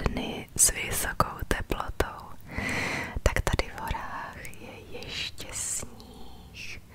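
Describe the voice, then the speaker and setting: Someone whispers, soft-spoken and very slow. Noticeable background noise sits behind the voice. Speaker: hiker vlogger. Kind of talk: casual vlog chat. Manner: soft ASMR whisper while walking. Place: forest. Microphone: phone near.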